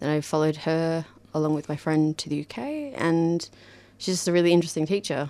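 A woman speaks fairly quickly in an Australian accent, her voice fairly low with a dark, mellow tone. Her intonation stays fairly even. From Australia, Canberra. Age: 30s. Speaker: dancer and community radio volunteer. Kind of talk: interview conversation. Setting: radio studio.

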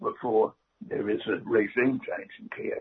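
A man with an Australian accent at a moderate pace. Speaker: former diplomat. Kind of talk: interview.

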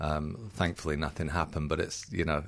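Very deep and low in pitch, a man with a slight British accent speaks in a flat monotone against a quiet background. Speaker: film director. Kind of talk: radio interview. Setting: studio.

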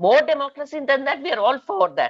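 A woman with an Indian accent, high-pitched, at a fairly quick pace. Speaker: feminist activist and author. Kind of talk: panel talk. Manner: halting, many fillers.

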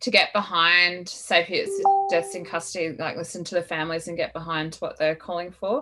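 With music playing in the background, a woman of medium pitch speaks at a moderate pace with lively intonation. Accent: Australian. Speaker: activist and academic researcher. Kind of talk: panel discussion on radio. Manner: hesitant, many fillers.

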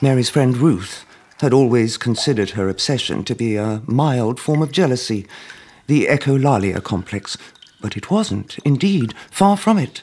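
A man with an unremarkable speaking voice talks at a moderate pace and medium pitch, using lively intonation. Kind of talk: performed poem and comic storytelling.

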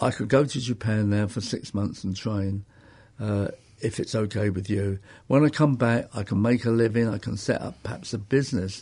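A man's fairly low, somewhat breathy voice carries a dark, mellow tone with ordinary pitch variation. He keeps a moderate pace against a quiet background. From North London, England. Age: 70s. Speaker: interviewee, karate teacher. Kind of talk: casual interview. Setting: studio.

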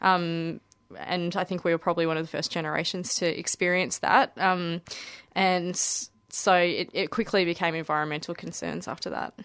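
With an Australian accent, a woman speaks at a fairly low pitch in monotone, flat intonation. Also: moderate pace. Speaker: environmental campaigner. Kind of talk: radio interview. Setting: radio studio.

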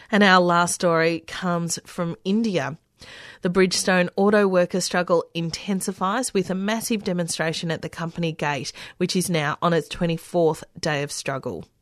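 A woman with an unremarkable speaking voice, a fairly low pitch and fairly even intonation, at a moderate pace against a quiet background. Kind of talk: formal radio newsreading of labour stories. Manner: measured, steady newsreader delivery.

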